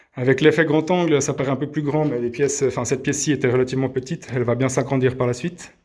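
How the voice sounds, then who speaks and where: In a regional French accent, a man talks at a fairly quick pace and medium pitch, his intonation monotone and flat. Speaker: vlogger renovating his house. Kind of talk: casual video tour. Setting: walking tour indoors and outdoors. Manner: halting, many hesitations (euh).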